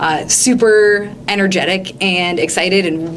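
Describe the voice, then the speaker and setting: Amid noticeable background noise and audible room echo, a woman talks with a slight Minnesota accent. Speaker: English teacher. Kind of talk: interview.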